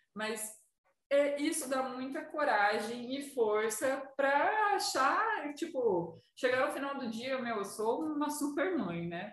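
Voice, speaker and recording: Audible room echo surrounds a woman speaking at a very slow pace, her high pitch moving in very wide swings. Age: 20s. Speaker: tattoo artist. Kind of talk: casual chat.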